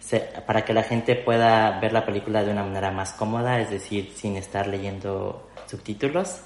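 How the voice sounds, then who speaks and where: Here is a man with a normal speaking voice. His intonation is fairly even. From Mexico City. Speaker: video producer and youtuber. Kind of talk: interview conversation.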